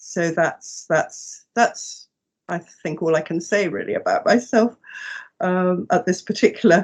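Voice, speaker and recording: At a fairly slow pace, a woman speaks with an English accent. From England. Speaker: herbalist and psychotherapist. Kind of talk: interview. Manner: halting, many fillers and repeats.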